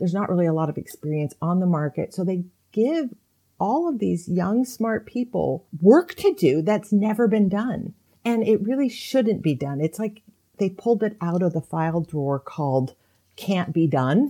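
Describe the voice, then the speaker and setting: The voice has a dark, mellow tone, lively intonation and a moderate pace. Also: woman, medium pitch for a woman. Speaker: author. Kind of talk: interview.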